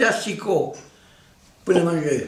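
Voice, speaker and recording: A man is speaking, and noticeable background noise can be heard behind him. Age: 80s+. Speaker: retired mason. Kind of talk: interview answer. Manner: hesitant, halting.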